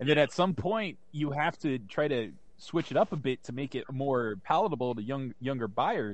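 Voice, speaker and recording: Against a quiet background, a man with a plain, everyday voice speaks at a moderate pace, his fairly high pitch moving with lively intonation. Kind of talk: casual banter.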